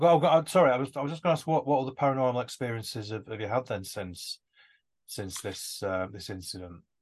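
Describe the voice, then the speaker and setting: A man with a medium-pitched voice talks very fast with lively intonation and big swings in loudness. The background is quiet. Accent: northern English. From northwest England. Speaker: podcast host and author. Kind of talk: casual interview.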